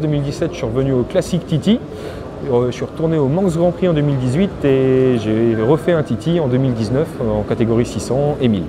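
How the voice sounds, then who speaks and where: A man at medium pitch speaks at a fairly quick pace with ordinary pitch variation amid noticeable background noise. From central France (Cher, near Bourges). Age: 30s. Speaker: motorcycle road racer. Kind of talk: interview. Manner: hesitant, many filler sounds.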